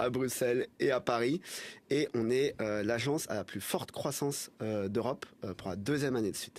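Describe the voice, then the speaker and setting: Over a very clean recording with a silent background, a man uses a normal speaking voice at a moderate pace, medium pitch and ordinary pitch variation. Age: 20s. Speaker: agency co-founder. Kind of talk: podcast interview.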